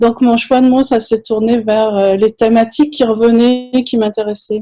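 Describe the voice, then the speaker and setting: A woman's fairly high-pitched voice with a dark, mellow tone, fairly even intonation and a fairly slow pace. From France. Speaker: anthropology professor. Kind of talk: panel discussion.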